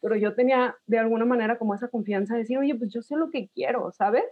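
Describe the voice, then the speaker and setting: Using a plain, everyday voice, a woman talks at a fairly quick pace in a fairly high pitch. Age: 30s. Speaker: podcast guest. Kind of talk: casual chat.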